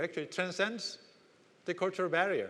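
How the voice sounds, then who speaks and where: A man speaks with a Korean accent. His pitch is high. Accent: Korean, non-native English. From South Korea. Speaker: business executive. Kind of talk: conference keynote speech.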